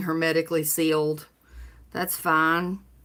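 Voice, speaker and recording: A woman with a Southern US accent talks at a fairly slow pace and a fairly low pitch. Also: very clean recording, silent background. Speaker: livestreamer, cancer survivor. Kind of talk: casual live stream chat. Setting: home live stream. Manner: animated.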